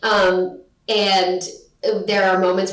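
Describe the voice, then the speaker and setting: There is noticeable background noise and audible room echo as a woman speaks at a medium pitch. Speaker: actress and graduate acting student. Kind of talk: interview. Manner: loud; animated.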